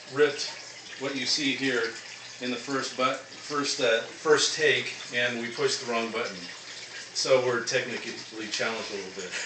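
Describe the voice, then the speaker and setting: Moderate pace with long, frequent pauses, big swings in loudness, audible room echo, and noticeable background noise. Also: man. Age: 50s. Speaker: phone book ripper and web marketer. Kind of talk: casting video monologue. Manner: hesitant, many fillers.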